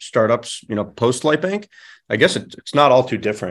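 Against a quiet background, a man speaks in a Midwestern American accent. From Michigan, suburbs of Detroit. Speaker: angel investor and startup operator. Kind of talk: interview conversation. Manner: casual, many fillers and repeated words.

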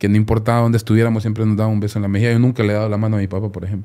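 In a very clean recording with a silent background, a man speaks at a medium pitch in a dark, mellow tone. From Honduras. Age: 40s. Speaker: lawyer. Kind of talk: interview. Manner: halting, frequent repetitions.

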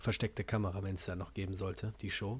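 A man talks at a moderate pace, sounding somewhat breathy. The recording is very clean, with a silent background. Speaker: podcast host, martial arts trainer. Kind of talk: casual chat.

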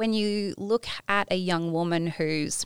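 A woman with an Australian accent speaks at medium pitch with fairly even intonation. The sound is dry and close with no echo, on a very clean recording with a silent background. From Tasmania, Australia. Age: 40s. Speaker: empowerment coach. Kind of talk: casual chat.

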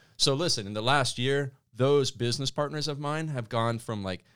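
The speaker has an ordinary speaking voice with ordinary pitch variation at a moderate pace. The recording is very clean, with a silent background. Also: man. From Canada. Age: 40s. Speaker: business coach. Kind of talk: casual chat. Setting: studio.

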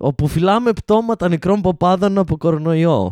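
A quiet background surrounds this recording. A man's dark, mellow voice moves at a fairly slow pace. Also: dry, close sound with no echo. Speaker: comedian doing live Instagram rants. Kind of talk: angry sarcastic rant about Covid, priests and Greek society, delivered live to chat. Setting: Instagram live stream addressing chat viewers. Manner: indignant, sarcastic, mocking, with incredulous stress and rising outrage.

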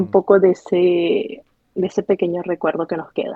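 A woman with a plain, everyday voice, medium in pitch, at a moderate pace. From Venezuela, Barquisimeto. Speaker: emigrant with a language degree. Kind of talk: interview testimony.

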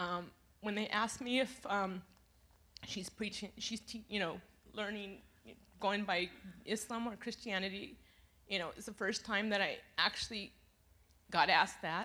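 A woman with a medium pitch and a bright, sharp tone speaks at a moderate pace, with big swings in loudness and long, frequent pauses. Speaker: congregation member giving testimony. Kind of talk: testimony.

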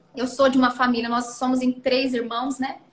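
Her pitch sits high, and the woman keeps a moderate pace. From Brazil, Mato Grosso do Sul; moved to São Paulo state at 12. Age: 30s. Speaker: mayor and former TV journalist. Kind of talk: interview.

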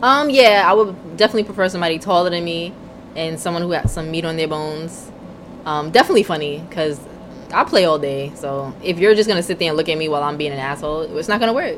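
A woman's fairly low pitch and ordinary pitch variation at a very fast pace, with noticeable background noise. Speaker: podcast co-host. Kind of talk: casual chat. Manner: casual, profane.

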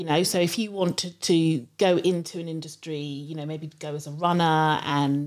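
A woman with a London accent, fairly low in pitch with ordinary pitch variation, at a moderate pace on a very clean recording with a silent background. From London (Harrow). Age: 50s. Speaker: education marketing director. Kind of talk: interview. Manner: halting, many fillers.

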